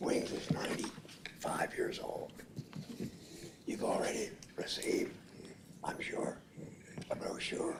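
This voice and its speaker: With noticeable background noise around it, the whispering moves at a fairly slow pace. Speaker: public commenter at county meeting. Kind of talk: public comment statement.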